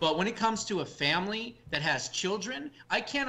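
A man's bright, sharp tone at a moderate pace. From New Jersey. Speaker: political talk show host. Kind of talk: political commentary.

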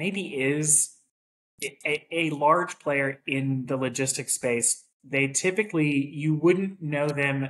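A man, using ordinary pitch variation, speaks at a very slow pace. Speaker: logistics professional, podcast co-host. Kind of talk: casual chat. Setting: home recording, echoey room. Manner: talkative. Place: home room. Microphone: webcam.

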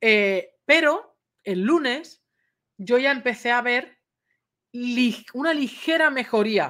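Against a quiet background, a woman speaks in a high voice with an animated tone and lively intonation. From Spain. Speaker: dog trainer and YouTuber; dog trainer, YouTuber. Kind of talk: personal vlog storytelling. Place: home room. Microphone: webcam.

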